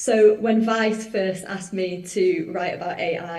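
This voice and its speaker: A woman with a Mancunian accent speaks fairly slowly in fairly even intonation. Audible room echo and noticeable background noise surround her. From northern England, Manchester. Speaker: musician and journalist. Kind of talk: conference presentation. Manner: casual, chatty.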